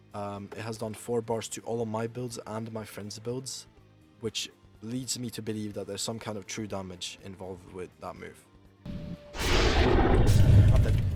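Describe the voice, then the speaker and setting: Music plays in the background as a man speaks at a moderate pace. His voice is fairly low and his intonation monotone and flat. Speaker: gaming guide creator. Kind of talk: game tutorial voiceover.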